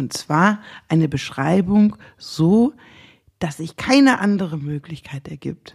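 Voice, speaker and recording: With lively intonation, the somewhat breathy voice moves along with long, frequent pauses. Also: woman, fairly low pitch for a woman. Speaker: lawyer. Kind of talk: casual chat.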